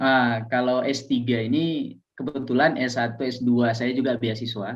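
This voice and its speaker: A man with a Medan accent, medium pitch, flat monotone intonation and a fairly slow pace. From Aceh, Indonesia. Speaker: Islamic teacher and doctoral student. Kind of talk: casual interview.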